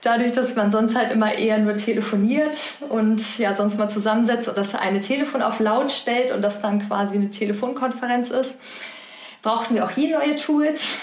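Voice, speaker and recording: A woman talks at a moderate pace with fairly high pitch, very even loudness and fairly even intonation. The room echo is audible, and there is noticeable background noise. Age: 20s. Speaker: hospital business unit manager. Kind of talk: interview.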